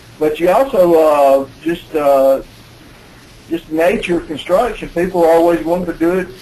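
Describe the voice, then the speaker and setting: Over noticeable background noise, a man talks in an Alabama accent at a high pitch. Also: ordinary pitch variation, moderate pace. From US South, Alabama. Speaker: building code expert presenter. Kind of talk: webinar presentation. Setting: conference call. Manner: halting, many fillers.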